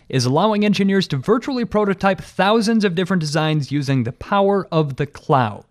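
His voice is high for a man and swings very widely in pitch. The sound is dry and close, with no echo. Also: very clean recording, silent background. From dairy farming region. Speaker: podcast host. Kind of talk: interview and scripted narration.

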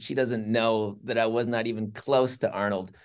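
The recording is very clean, with a silent background. A man with a plain, everyday voice speaks at a medium pitch, his intonation fairly even. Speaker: campus ministry leader. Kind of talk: casual interview chat.

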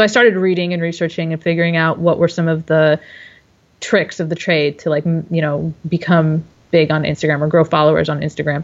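Using a normal speaking voice, a woman talks at a fairly quick pace with a fairly low pitch and fairly even intonation. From Dearborn, Michigan, US. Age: 30s. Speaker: webcomic artist and illustrator. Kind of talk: casual interview.

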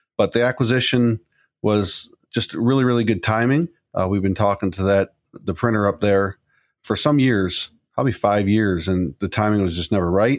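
This man has a plain, everyday voice with a fairly low pitch. He talks at a moderate pace with ordinary pitch variation. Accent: American. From Chicago. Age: young. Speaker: printing company president. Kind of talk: interview.

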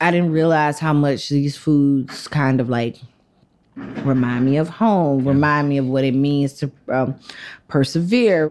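Speaking fairly slowly with a Southern US accent, a woman holds a very even loudness in a very deep, low voice. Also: ordinary pitch variation. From US South. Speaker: food writer. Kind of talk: interview. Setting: in a shop.

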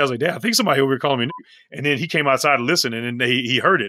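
With an animated tone, a man speaks at a medium pitch and ordinary pitch variation. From US Midwest, St. Louis, Missouri. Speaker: professor and pastor. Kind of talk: interview.

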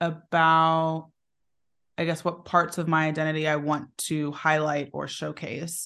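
At a moderate pace and fairly low pitch, a woman talks in an ordinary speaking voice against a quiet background. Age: 30s. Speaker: business strategist. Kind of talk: interview conversation.

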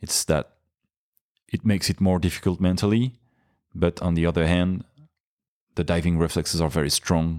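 On a very clean recording with a silent background and a dry, close sound with no echo, a man with a French accent and a very deep, low pitch speaks at a moderate pace with fairly even intonation, very even loudness and long, frequent pauses. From France (Paris). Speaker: freediver. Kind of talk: interview. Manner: hesitant, many fillers.

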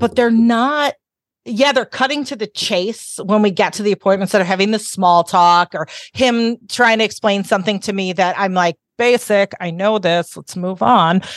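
A woman with a normal speaking voice talks at medium pitch and moderate pace, with ordinary pitch variation, against a quiet background in a dry, close sound with no echo. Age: 50s. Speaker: sex educator and podcaster. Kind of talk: casual interview.

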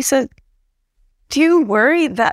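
An ordinary speaking voice from a woman with an American accent, at a moderate pace with ordinary pitch variation, the sound dry and close with no echo. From US Northeast (New Jersey). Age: 30s. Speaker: political science professor. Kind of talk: interview.

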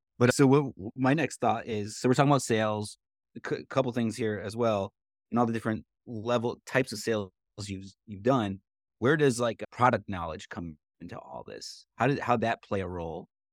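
In a very clean recording, silent background, and a dry, close sound with no echo, a man with an ordinary speaking voice talks at a fairly quick pace in a medium pitch, with ordinary pitch variation and big swings in loudness. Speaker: podcast co-host, executive director. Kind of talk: podcast interview.

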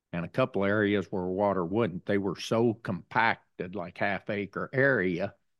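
A man's fairly low voice, an unremarkable speaking voice, with ordinary pitch variation, in a dry, close sound with no echo and a quiet background. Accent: American. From southeastern Indiana. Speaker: farmer. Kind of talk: interview. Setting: on-the-road studio at a conference.

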